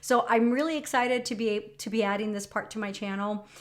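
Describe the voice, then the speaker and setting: Speaking with a Spanish accent, a woman uses a fairly high pitch and fairly even intonation. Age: 40s. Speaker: lifestyle vlogger and nurse. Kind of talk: casual personal vlog talk. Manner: conversational, many fillers.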